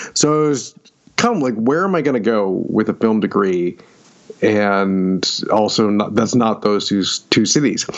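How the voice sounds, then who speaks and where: Against noticeable background noise, a man with an American accent speaks at a fairly slow pace in a fairly low voice, his loudness very even. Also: ordinary pitch variation. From upstate New York, near Syracuse. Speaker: fantasy and science fiction author. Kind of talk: interview.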